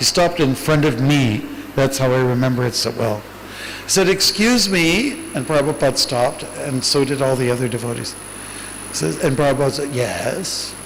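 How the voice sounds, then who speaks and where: A man speaks in a Canadian accent at a moderate pace, his pitch fairly high with ordinary variation. Noticeable background noise is present. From Canada. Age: 60s. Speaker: monk. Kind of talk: Q&A talk.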